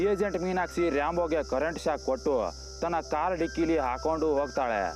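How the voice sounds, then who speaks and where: With music in the background, a man talks at a fairly high pitch with ordinary pitch variation. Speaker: voiceover narrator. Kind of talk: movie plot recap narration. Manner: casual, humorous storytelling.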